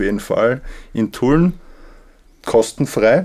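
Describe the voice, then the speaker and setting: A man speaking with lively intonation. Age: 40s. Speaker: managing director. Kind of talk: interview.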